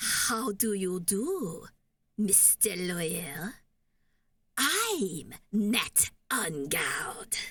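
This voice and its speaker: A woman puts on a sinister character voice in a French accent, speaking at a medium pitch and a very slow pace with long, frequent pauses. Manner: sinister, villainous.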